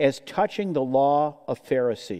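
A man's dark, mellow voice at a fairly slow pace over a quiet background. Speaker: preacher teaching scripture. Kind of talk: sermon. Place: church. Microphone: headset.

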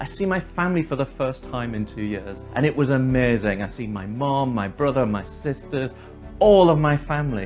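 Faint music sits in the background as the speaker moves at a fairly quick pace. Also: man. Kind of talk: casual storytelling to camera. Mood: upbeat, laughs often. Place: home room. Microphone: lapel.

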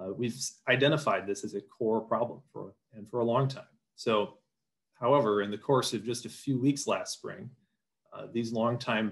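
Against a quiet background, a man with an American accent speaks at a moderate pace with ordinary pitch variation. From Wisconsin. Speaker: farm advocacy policy official; panelist. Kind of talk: panel presentation. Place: home room. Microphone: video call.

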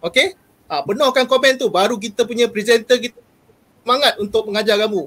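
With an extremely high pitch and a bright, sharp tone, a man speaks at a fairly quick pace with lively intonation. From Malaysia. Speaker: teacher, program emcee. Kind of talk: formal event emcee. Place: home room. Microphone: earbuds.

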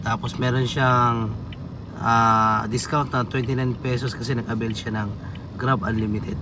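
Audible room echo surrounds a man's voice. He speaks at a medium pitch and a fairly slow pace. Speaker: ride-hailing driver vlogger. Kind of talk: casual vlog monologue while driving.

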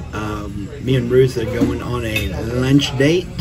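Fairly low male voice against noticeable background noise. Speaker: family vlogger. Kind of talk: casual vlog chat. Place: cafe. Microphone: phone near.

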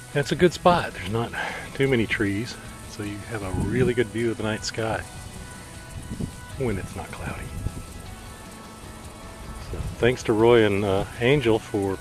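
A man at a moderate pace with ordinary pitch variation, long, frequent pauses and big swings in loudness, dry sound with no echo, and clear music in the background. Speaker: camping vlogger. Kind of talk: casual vlog narration. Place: open country. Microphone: phone near.

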